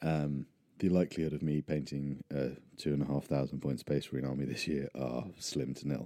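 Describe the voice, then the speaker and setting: A man talks at a moderate pace. His voice is very deep and low, with a dark, mellow tone. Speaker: podcast host. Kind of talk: solo casual monologue. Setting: hand-held mic, rural remote location. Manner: rambling with many fillers.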